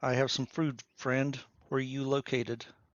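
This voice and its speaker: A man puts on a booming, loud character voice at medium pitch. His intonation is monotone and flat, and his pace is moderate. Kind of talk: shouted command voice. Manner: loud, booming, commanding.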